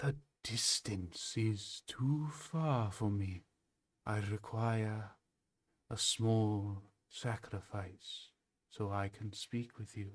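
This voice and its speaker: In a put-on character voice at a medium pitch, a man speaks at a very slow pace with long, frequent pauses, on a very clean recording with a silent background. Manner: eerie, demanding.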